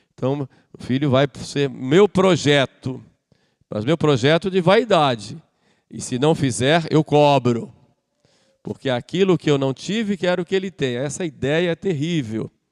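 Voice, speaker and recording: A man with a plain, everyday voice speaks at a fairly slow pace with lively intonation. The sound is dry and close, with no echo. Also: fairly high pitch for a man. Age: 60s. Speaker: priest. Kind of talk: sermon.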